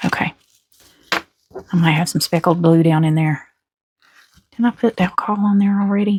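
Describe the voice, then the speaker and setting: With long, frequent pauses, a woman speaks at a moderate pace and ordinary pitch variation, the sound dry and close with no echo. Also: very even loudness. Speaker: resin crafter. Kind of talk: tutorial. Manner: casual.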